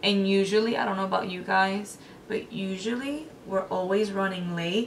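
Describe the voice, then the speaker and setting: Here a woman speaks in an American accent at a moderate pace, her pitch medium with ordinary variation. Light background noise can be heard. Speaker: beauty vlogger. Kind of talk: tutorial. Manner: casual. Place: home room.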